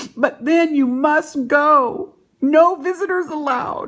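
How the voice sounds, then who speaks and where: The pace runs fairly slow in a put-on character voice. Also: woman, high pitch for a woman. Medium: read story.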